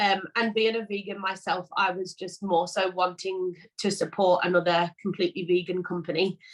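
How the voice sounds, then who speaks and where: A woman with a Liverpool accent speaks at a medium pitch in a monotone, flat intonation. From England, Liverpool. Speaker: vegan cookie business owner. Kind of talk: casual interview chat. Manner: hesitant, many fillers.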